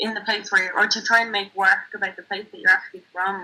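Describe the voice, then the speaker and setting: Speaking in an Irish accent, a woman with a medium pitch and a bright, sharp tone keeps a moderate pace and fairly even intonation. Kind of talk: interview testimony.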